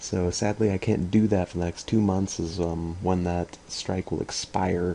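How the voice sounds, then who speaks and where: A man speaks in a very deep, low voice. His intonation is monotone and flat. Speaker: gaming video creator. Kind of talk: gameplay commentary. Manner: fast; casual, halting with fillers.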